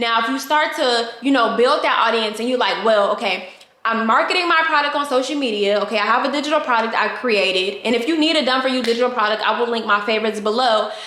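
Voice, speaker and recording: Very fast delivery with hardly any pauses, very even loudness and ordinary pitch variation, in audible room echo with noticeable background noise. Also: woman, fairly high pitch for a woman. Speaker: online business coach. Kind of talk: tutorial.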